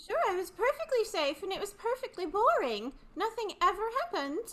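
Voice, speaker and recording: Putting on a squeaky character voice, a female-sounding voice speaks at extremely high pitch and a fairly quick pace over light background noise. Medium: stage play. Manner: innocent, curious.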